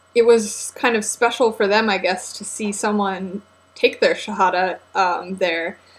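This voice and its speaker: Speaking with an American accent, a woman keeps a fairly slow pace. Her pitch is medium, with ordinary pitch variation. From United States. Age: 20s. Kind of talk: casual talk to camera. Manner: hesitant, many filler words.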